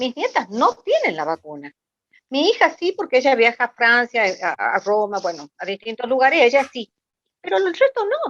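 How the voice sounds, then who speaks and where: A woman speaks at a moderate pace with a high pitch and very wide pitch swings. The sound is dry and close, with no echo. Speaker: audience member asking a question. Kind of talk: question at a political online meeting.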